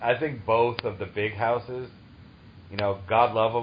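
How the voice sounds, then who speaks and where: A man with an American accent uses a normal speaking voice at medium pitch, talking at a fairly slow pace with fairly even intonation. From Massachusetts (Taunton, near Providence). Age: 30s. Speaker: podcast host. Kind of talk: casual chat.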